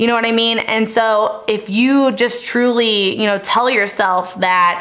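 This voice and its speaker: The voice belongs to a woman. Her pitch variation is ordinary. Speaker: fitness coach vlogger. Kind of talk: casual vlog Q&A advice. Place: home room.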